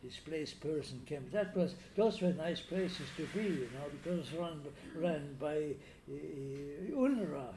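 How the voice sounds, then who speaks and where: A man speaks at a fairly slow pace, with audible room echo and noticeable background noise around him. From Danzig (Free City), later Italy. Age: 90s. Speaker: Holocaust survivor. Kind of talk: interview testimony. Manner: halting, many repetitions and fillers.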